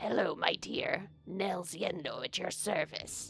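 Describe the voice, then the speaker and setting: A raspy, female-sounding put-on character voice at a middle pitch moves at a fairly slow pace over clear background noise. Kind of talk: courteous, polite.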